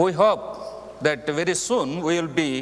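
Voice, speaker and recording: A man with a high voice and ordinary pitch variation talks over noticeable background noise. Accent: Indian. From India, Andhra Pradesh (Telugu speaker). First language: Telugu. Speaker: missionary preacher. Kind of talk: mission report to congregation. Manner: halting, with frequent fillers.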